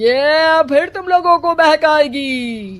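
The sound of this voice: A put-on character voice, fairly bright, slow in pace, with lively intonation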